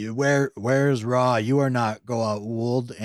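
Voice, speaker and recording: Using a booming, put-on character voice, a man of medium pitch speaks at a very slow pace. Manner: commanding.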